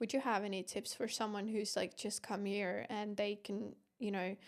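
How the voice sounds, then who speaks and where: With an Estonian accent, a woman speaks in fairly even intonation with vocal fry, recorded very cleanly over a silent background. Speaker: podcast host. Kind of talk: podcast interview.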